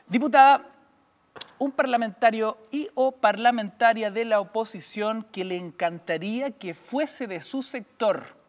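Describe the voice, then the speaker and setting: Speaking with a Chilean accent, a man with a high pitch uses lively intonation at a fairly slow pace. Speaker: radio host. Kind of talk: political interview. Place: studio.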